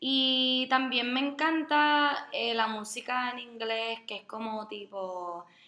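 This is a woman speaking. Her pitch moves with ordinary variation. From Puerto Rico. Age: 20s. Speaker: podcast co-host, special education graduate. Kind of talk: casual chat.

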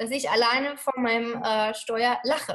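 With a high voice and normal rise and fall in pitch, a woman talks at a medium pace. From Germany. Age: 30s. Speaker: Ayurveda lifestyle coach. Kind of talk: interview.

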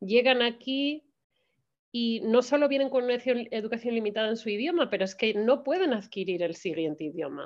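A woman's fairly high voice at a fairly slow pace. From Spain. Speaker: Spanish teacher. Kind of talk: interview. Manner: halting.

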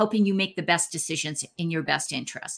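A woman with a Canadian accent speaks in a bright, sharp tone, recorded very cleanly against a silent background. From Canada. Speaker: divorce coach. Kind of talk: interview.

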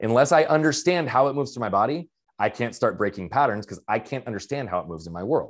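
Speaking at a very fast pace, a man with a medium-pitched voice makes very wide pitch swings on a very clean recording with a silent background. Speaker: mindset coach and speaker. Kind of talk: interview conversation. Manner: fast talker, loud.

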